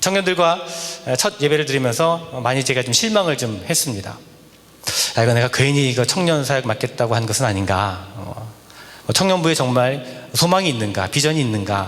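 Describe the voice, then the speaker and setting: Speaking with lively intonation, a man uses a medium pitch. Noticeable background noise and audible room echo fill the recording. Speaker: guest preacher, associate pastor. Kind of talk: sermon. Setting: church revival service. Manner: fast.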